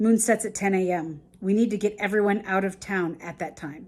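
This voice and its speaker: A woman puts on a raspy character voice at a medium pitch. She talks at a fairly quick pace with fairly even intonation. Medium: read story.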